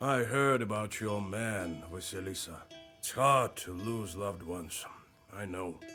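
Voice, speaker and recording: A man's put-on character voice, fairly low in pitch, at a moderate pace over faint background music. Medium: video game. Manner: plainspoken, earnest.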